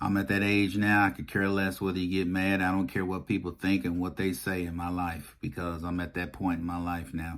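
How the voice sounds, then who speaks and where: In a very clean recording with a silent background, a man with a very deep, low pitch speaks with hardly any pauses. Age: 50s. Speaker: YouTube commentator. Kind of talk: personal vlog monologue. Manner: emphatic, repetitive.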